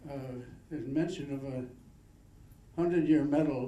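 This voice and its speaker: In a room with audible echo, a man speaks at a moderate pace with a fairly high pitch and monotone, flat intonation. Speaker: award recipient, long-term diabetes patient. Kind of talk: acceptance speech.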